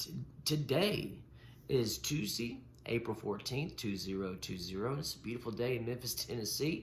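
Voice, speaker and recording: Through audible room echo, a man with vocal fry talks at a moderate pace with lively intonation. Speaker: podcast host. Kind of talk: casual chat. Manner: halting.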